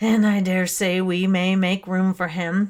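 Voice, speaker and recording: Put-on character voice, fairly slow, monotone and flat in intonation. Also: man. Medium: read story. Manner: stolid, grumbling.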